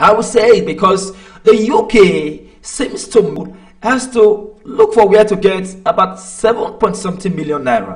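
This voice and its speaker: A man with a Nigerian accent speaks at a fairly slow pace in a high pitch, with ordinary pitch variation. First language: Nigerian language. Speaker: online commentator. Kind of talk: live stream commentary. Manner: hesitant, many fillers.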